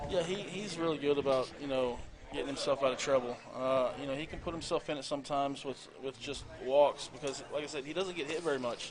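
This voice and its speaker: The pace is fairly quick and the intonation fairly even. Noticeable background noise runs underneath. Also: man, fairly high pitch for a man. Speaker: high school coach and color commentator. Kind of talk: live sports commentary. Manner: trying to speak calmly.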